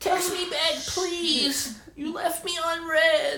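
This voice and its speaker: An extremely high, put-on character voice moves at a very slow pace, with audible echo around it. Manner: pleading, whiny, needy.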